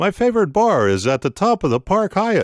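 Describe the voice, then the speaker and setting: On a very clean recording with a silent background and a dry, close sound with no echo, a man does a put-on character voice at a high pitch, fairly quick pace and very even loudness, with very wide pitch swings. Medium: read story.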